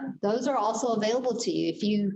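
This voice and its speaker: At a moderate pace, a woman talks in a fairly high pitch with ordinary variation and a dark, mellow tone. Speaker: real estate agent and team leader. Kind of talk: training session. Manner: loud; animated.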